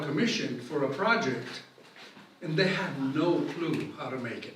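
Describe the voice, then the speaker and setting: Amid noticeable background noise and audible room echo, a man with a fairly high pitch speaks at a moderate pace. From Italy, Rome. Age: 70s. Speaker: glass artist. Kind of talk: lecture. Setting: museum hall with audience.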